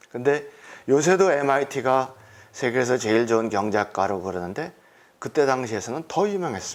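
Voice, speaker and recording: A man talks at a fairly quick pace in a plain, everyday voice, medium in pitch, with lively intonation. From South Korea. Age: 60s. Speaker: entrepreneur giving testimony. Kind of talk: testimony.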